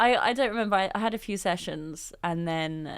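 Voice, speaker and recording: A woman with an English accent at a moderate pace, on a very clean recording with a silent background. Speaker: business founder. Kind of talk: interview. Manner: measured, pauses before answering.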